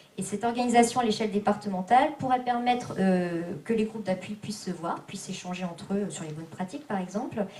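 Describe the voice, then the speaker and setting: Noticeable background noise and audible room echo fill the recording. Through them, a woman speaks at a fairly quick pace. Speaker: activist rapporteur summarizing group work. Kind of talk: meeting summary report. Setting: public meeting hall. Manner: fast; hesitant, many fillers.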